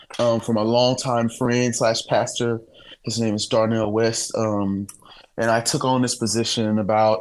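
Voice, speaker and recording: In a St. Louis accent, a man speaks at a medium pitch with monotone, flat intonation. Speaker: worship director and singer-songwriter. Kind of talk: podcast interview.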